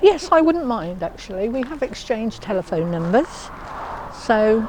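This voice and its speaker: A woman with a fairly high pitch talks at a moderate pace, her pitch swinging very widely over noticeable background noise. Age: 70s. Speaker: older woman going on a date. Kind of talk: documentary interview. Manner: hesitant, with fillers.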